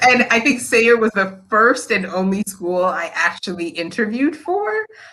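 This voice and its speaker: With noticeable background noise behind her, a woman with an American accent speaks in a fairly high voice, her tone animated and her intonation lively. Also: moderate pace. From Nigeria, then southern Illinois and Atlanta, US. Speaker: school principal. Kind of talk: interview.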